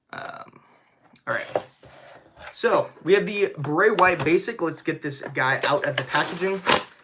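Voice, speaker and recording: With an American accent, a man speaks in an enthusiastic tone at a fairly slow pace, leaving long, frequent pauses. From San Diego, California. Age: 20s. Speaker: YouTuber, wrestling fan and collector. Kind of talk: live stream unboxing and chat. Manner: casual, enthusiastic.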